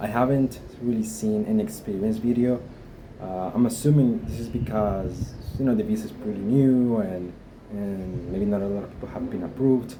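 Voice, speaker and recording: Audible room echo surrounds a man talking at a moderate pace in a medium pitch. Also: ordinary pitch variation. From Guatemala. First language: Spanish. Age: 20s. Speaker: vlogger. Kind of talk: personal experience vlog. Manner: halting, many fillers.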